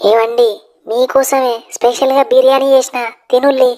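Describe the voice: A woman uses a cartoonish character voice with a high pitch. Her intonation is fairly even and her pace moderate.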